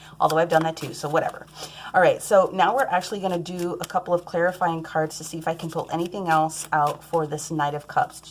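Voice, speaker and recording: Very fast speech over noticeable background noise. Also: woman, fairly low pitch for a woman. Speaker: tarot reader. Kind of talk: tarot reading. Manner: animated.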